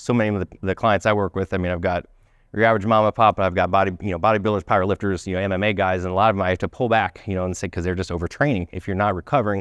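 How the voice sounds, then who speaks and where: A man talks at a very fast pace in a very deep, low voice with fairly even intonation. The sound is dry and close with no echo, over a quiet background. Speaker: health practitioner giving a talk. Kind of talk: conference presentation.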